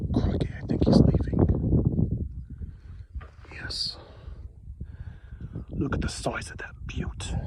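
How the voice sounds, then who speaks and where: A man's whisper, very slow and broken by long, frequent pauses, with audible room echo and noticeable background noise. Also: big swings in loudness. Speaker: long-distance hiker vlogger. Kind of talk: casual vlog narration. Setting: outdoors on a trail.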